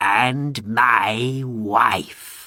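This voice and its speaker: Using a put-on character voice, a man speaks at a medium pitch with fairly even intonation. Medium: read story.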